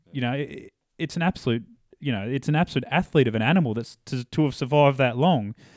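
In an Australian accent, a man speaks at a very fast pace with ordinary pitch variation, in a dry, close sound with no echo on a very clean recording with a silent background. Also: medium pitch for a man. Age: 20s. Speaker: hunter and pipe layer. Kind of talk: casual interview. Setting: home studio, in person.

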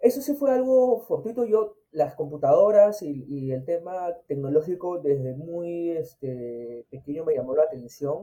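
Using a Peruvian accent, a man with a high pitch speaks at a fairly slow pace, with hardly any pauses and very wide pitch swings. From Peru, Chincha (Ica). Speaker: agile consultant and former army officer. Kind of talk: interview. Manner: halting, frequent repetitions and fillers.

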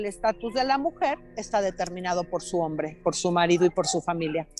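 Music underneath, a woman's voice, a moderate tempo. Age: 50s. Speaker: yoga teacher and choreographer. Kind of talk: casual conversation. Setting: walking outdoors on a city street, remote call.

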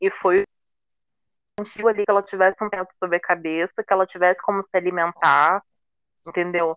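A woman's monotone, flat delivery at a fairly quick pace, broken by long, frequent pauses, in a dry, close sound with no echo. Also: medium pitch for a woman. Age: 20s. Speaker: fan guest. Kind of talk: casual chat.

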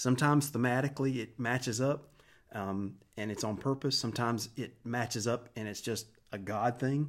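A man with an American accent speaks at a moderate pace in a normal speaking voice, medium in pitch with fairly even intonation. The recording is very clean, the background silent. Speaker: worship pastor. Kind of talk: casual interview.

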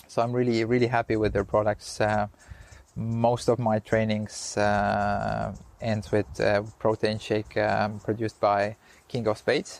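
A man with an Estonian accent speaks at a fairly slow pace in a fairly low voice, his intonation monotone and flat and his loudness very even, in a dry, close recording with no echo. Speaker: Ironman triathlete. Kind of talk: interview. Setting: outdoors.

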